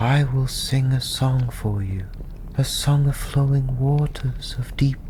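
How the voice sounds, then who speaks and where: Soft-spoken, a man talks at a very slow pace. Noticeable background noise runs underneath. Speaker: tavern storyteller, ASMR performer. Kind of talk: fairy-tale story narration. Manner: softly spoken.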